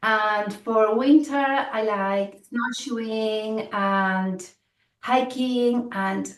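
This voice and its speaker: With a Spanish accent and lively intonation, a woman speaks at a fairly high pitch in a room with audible echo. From Spain. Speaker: program director. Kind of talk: orientation presentation.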